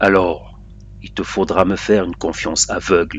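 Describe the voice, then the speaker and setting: A man puts on a character voice, hoarse and very deep in pitch. He speaks at a moderate pace over clear background noise. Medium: read story. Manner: cryptic, commanding.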